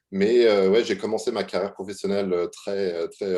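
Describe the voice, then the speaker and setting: The man speaks in a fairly low pitch with a dark, mellow tone. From France, Normandy (Le Havre). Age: 20s. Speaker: UX/UI designer. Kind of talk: interview. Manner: halting, many fillers.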